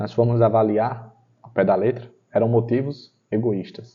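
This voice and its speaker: A man's somewhat breathy voice at a very slow pace. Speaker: Bible study teacher. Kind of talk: guided Bible study.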